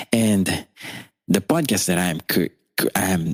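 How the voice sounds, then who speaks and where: In a dry, close sound with no echo, a man speaks at a fairly slow pace with a very deep, low voice and ordinary pitch variation. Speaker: podcast host. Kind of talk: casual podcast monologue. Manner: natural, radio-like delivery.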